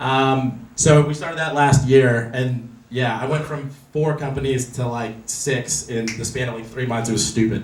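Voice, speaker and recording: A man with an American accent talks at a moderate pace with fairly even intonation and hardly any pauses, amid audible room echo and noticeable background noise. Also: medium pitch for a man. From Los Angeles. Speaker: real estate investor speaker. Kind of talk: presentation to meetup audience.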